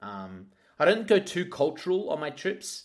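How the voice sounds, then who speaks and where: A man with an Australian accent speaks with very wide pitch swings. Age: 30s. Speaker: radio host. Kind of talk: casual chat.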